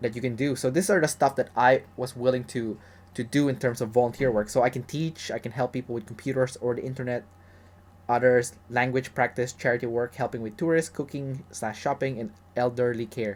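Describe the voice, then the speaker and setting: Fairly quick and medium-pitched, a man speaks with fairly even intonation and a plain, everyday voice. The recording is very clean with a silent background. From Canada. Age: 30s. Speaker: travel vlogger. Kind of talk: tutorial. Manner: casual, with many fillers and restarts.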